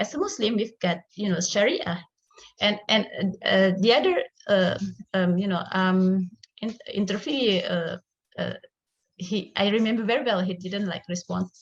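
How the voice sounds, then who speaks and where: Somewhat breathy, a woman with an Indonesian accent speaks with long, frequent pauses. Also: medium pitch for a woman, ordinary pitch variation, moderate pace. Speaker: academic researcher. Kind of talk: conference presentation. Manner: halting, many fillers.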